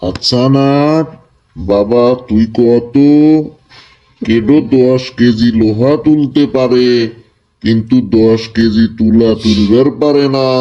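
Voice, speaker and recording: A man's cartoonish character voice at a medium pitch, with fairly even intonation, a very slow pace and very even loudness. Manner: gruff, scolding.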